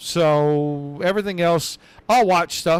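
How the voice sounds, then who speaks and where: The pitch of this man's voice varies in an ordinary way. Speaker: race commentator. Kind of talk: live commentary. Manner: subdued.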